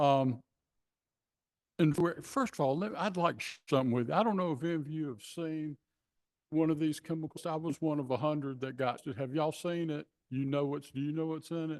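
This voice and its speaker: This man has a fairly high pitch and a coastal Georgia accent, with ordinary pitch variation. He talks at a fairly quick pace over a quiet background. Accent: Southern US (coastal Georgia). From US South. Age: 70s. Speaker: public commenter. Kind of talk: public comment at meeting. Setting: city commission meeting room.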